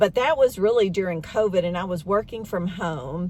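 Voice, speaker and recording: A woman with a normal speaking voice, medium pitch and a moderate pace. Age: 60s. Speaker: beauty vlogger. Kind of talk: casual talk to camera. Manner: conversational, with fillers.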